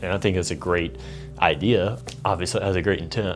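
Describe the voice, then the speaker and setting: Music plays in the background. A man with a fairly low pitch talks at a fairly quick pace. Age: 20s. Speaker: videographer and filmmaker. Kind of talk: casual talk to camera.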